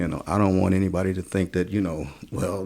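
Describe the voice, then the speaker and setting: A man with an American accent and a very deep, low pitch talks at a fairly quick pace, his tone dark and mellow and his intonation fairly even. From Chicago, US Midwest. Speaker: pastor and community organizer. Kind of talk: podcast interview.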